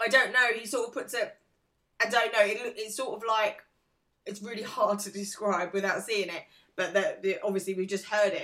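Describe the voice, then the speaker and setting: The voice carries an English accent at a moderate pace. Intonation stays fairly even while loudness swings widely. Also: woman, fairly high pitch for a woman. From England. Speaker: podcast co-host. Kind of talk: casual chat.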